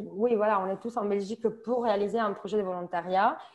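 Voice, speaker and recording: A woman speaks with a slight southern French accent at a moderate pace. Her pitch is fairly high and her intonation fairly even, over a quiet background. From Italy, Sicily. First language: Italian (speaking French). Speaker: volunteer. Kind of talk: testimony. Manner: halting.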